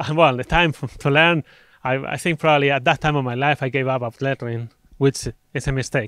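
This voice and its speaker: In a Spanish accent, a man talks at a fairly quick pace with a fairly high pitch and fairly even intonation. The sound is dry and close with no echo, on a very clean recording with a silent background. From Spain. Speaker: conference speaker. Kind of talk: conference talk.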